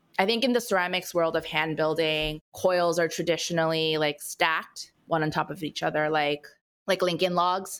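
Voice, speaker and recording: A woman with an American accent speaks in a fairly low pitch and a fairly even intonation, using a normal speaking voice, on a very clean recording with a silent background. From California. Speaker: ceramic artist and business founder. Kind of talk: casual interview.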